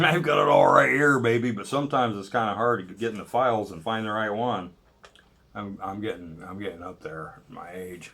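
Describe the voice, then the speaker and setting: A plain, everyday voice at a fairly quick pace, with lively intonation and big swings in loudness. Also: man, fairly low pitch for a man. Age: 60s. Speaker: political commentary video blogger. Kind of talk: casual monologue. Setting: at home cooking while recording. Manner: rambling, with many fillers and false starts.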